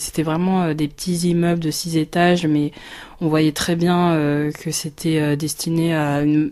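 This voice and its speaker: A woman speaks at a fairly slow pace in a very deep, low voice with a dark, mellow tone, flat monotone intonation and very even loudness. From France, Paris region (Marne-la-Vallée). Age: 30s. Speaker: teacher and blogger. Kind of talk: testimony. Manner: halting, many hesitations.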